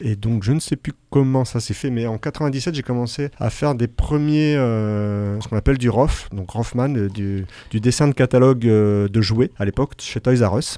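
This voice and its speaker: A man's dark, mellow, medium-pitched voice with ordinary pitch variation, on a very clean recording with a silent background. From northern France. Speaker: illustrator. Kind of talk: radio interview.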